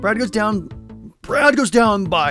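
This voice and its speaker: A man's high-pitched, put-on character voice, raised and projected, over faint music in the background. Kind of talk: announcer narrator voice.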